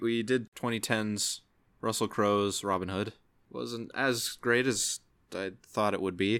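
On a very clean recording with a silent background, a man with an unremarkable speaking voice talks at a fairly low pitch and a fairly slow pace with fairly even intonation. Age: 20s. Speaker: podcast host.

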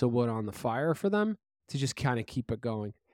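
This man has a New York accent. The recording is very clean, with a silent background. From Brooklyn, New York. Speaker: podcast co-host. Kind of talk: casual chat.

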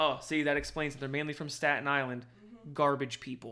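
With a New Jersey accent, a man speaks fairly quickly in a fairly high, bright, sharp voice and monotone, flat intonation. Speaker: corrections officer. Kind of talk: casual chat.

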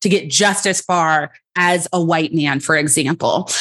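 Silent background and a very clean recording of a woman. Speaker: clinical psychologist and coach. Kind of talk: interview answers, conversational. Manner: outspoken, powerful voice.

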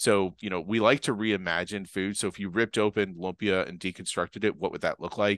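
A man with a slight Boston accent talks fairly quickly with hardly any pauses, at a fairly low pitch with fairly even intonation. The sound is dry and close with no echo, over a quiet background. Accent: Boston accent, barely noticeable. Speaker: chef. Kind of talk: casual interview.

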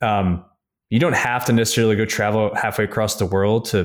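Recorded very cleanly against a silent background, a man with an American accent and an ordinary speaking voice talks at a fairly quick pace, fairly low in pitch with fairly even intonation. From upstate New York. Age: 30s. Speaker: investment firm founder. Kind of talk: interview.

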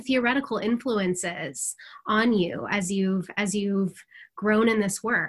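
Here a woman talks fairly slowly. There is noticeable background noise in the recording. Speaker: co-host interviewer. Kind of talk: interview.

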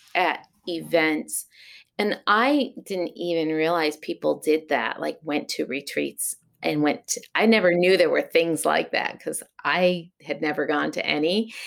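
With an American accent, a woman speaks at a fairly slow pace in a fairly low pitch, with lively intonation and vocal fry. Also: very clean recording, silent background. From Massachusetts (Berkshires). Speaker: sheep and fiber farmer. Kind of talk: interview.

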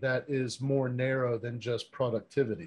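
A man's medium-pitched voice comes through over a quiet background. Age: 40s. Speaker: podcast host. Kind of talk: interview. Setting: remote call.

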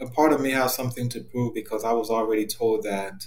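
The speaker keeps a moderate pace while audible echo fills the room. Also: man. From Cameroon. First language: French. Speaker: therapist. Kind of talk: interview.

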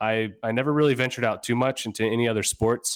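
This man with an American accent has an unremarkable speaking voice, pitched mid-range with ordinary pitch variation. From Northern Virginia, US. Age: 30s. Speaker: flexibility coach. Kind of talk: casual interview. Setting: remote call.

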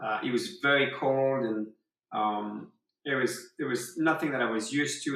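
This man speaks with a French accent. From southwest France. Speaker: surfer. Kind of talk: casual chat. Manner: halting.

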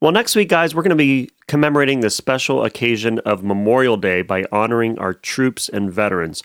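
Recorded dry and close with no echo, a man has an ordinary speaking voice and lively intonation. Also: medium pitch for a man. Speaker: orchestra conductor, podcast co-host. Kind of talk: casual chat.

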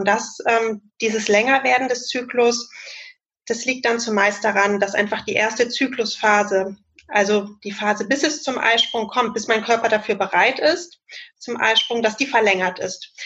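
In an unremarkable speaking voice, a woman speaks at a moderate pace with a fairly high pitch and fairly even intonation. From Germany, Cologne. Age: 30s. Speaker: family planning counsellor and trainee midwife. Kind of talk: expert interview explanation. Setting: video call.

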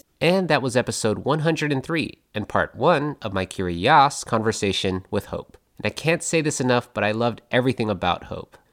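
In an unremarkable speaking voice, a man talks at a moderate pace and medium pitch. His intonation is lively, and the recording is very clean with a silent background. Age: young. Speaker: podcast host. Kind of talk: podcast host chat and narration.

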